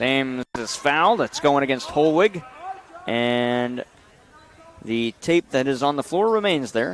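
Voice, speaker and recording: A man with a fairly high pitch speaks with lively intonation and long, frequent pauses against noticeable background noise. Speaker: play-by-play announcer. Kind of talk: live sports commentary. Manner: loud; fast.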